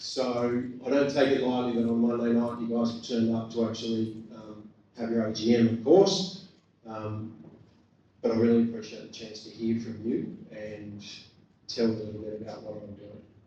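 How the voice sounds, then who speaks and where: With an Australian accent, a man of medium pitch speaks at a moderate pace with ordinary pitch variation and big swings in loudness, and audible room echo surrounds him. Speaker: government commissioner. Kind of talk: public talk. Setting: community meeting with microphone.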